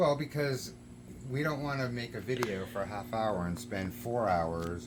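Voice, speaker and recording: The intonation is lively and the pace moderate. Audible room echo surrounds the voice. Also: man. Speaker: photographer and videographer. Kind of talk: casual chat. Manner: calm and quiet.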